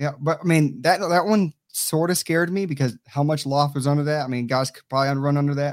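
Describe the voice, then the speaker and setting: Talking with hardly any pauses, a man uses a fairly high pitch and fairly even intonation while his loudness swings widely. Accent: Southern US. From Tampa, Florida. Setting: video call from home.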